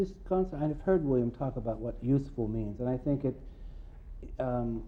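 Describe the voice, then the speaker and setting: With an American accent, a man talks at a fairly quick pace in a medium pitch. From United States. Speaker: poet. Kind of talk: interview. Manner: halting.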